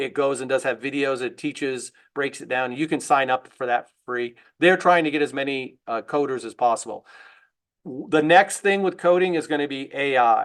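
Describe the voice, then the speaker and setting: Against a quiet background, a man speaks in a fairly high voice with ordinary pitch variation. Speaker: middle school technology teacher. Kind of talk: teacher training presentation. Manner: fast.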